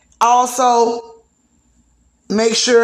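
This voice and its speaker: A woman is speaking. Audible echo from the room surrounds her voice. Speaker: podcast host. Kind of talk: casual gossip chat.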